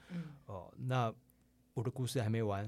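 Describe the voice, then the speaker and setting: A man with a dark, mellow tone is heard on a very clean recording against a silent background. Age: 40s. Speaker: advertising director and writer. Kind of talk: interview. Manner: halting, many fillers.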